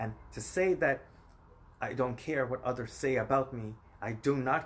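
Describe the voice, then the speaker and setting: The man's voice is somewhat breathy and medium in pitch. He talks at a moderate pace. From Guyana, raised in New York City. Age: 30s. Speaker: vlogger. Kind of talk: personal vlog monologue. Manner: emphatic, repetitive.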